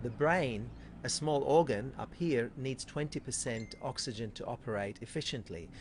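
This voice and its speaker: Vocal fry runs through this man's medium-pitched voice. He talks at a moderate pace with ordinary pitch variation. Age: 50s. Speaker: chiropractor. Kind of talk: interview.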